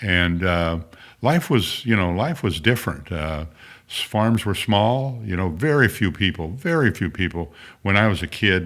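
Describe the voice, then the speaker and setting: A man with a Midwestern American accent speaks at a moderate pace in a fairly low pitch, his intonation lively, on a very clean recording with a silent background. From southern Illinois, rural German farm community. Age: 80s+. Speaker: former state senator. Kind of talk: interview conversation. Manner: halting, many fillers and repetitions.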